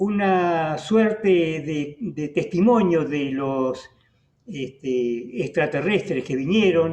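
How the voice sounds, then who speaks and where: A man's fairly high voice with a Rioplatense accent, lively intonation and a very slow pace. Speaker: radio host. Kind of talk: interview. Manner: hesitant, many fillers.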